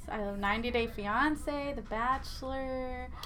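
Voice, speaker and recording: A woman with an American accent speaks at a very slow pace, her high, bright, sharp voice carrying audible room echo. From Arizona. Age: 20s. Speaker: diabetes advocate and influencer. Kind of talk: interview.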